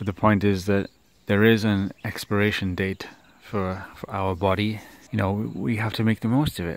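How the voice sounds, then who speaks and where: Fairly low in pitch, a man speaks with a British accent and fairly even intonation, in a dry sound with no echo. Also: moderate pace. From United Kingdom. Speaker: vlogger. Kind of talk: casual vlog monologue. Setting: outdoors in garden at sunrise. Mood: calm, reflective, encouraging. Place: open country.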